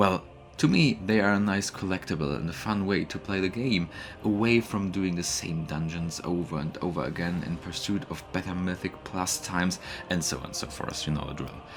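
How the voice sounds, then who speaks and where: This man has a very deep, low pitch and a non-native accent. He talks at a moderate pace with ordinary pitch variation. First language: not English. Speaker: gaming YouTuber. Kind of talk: gameplay commentary narration.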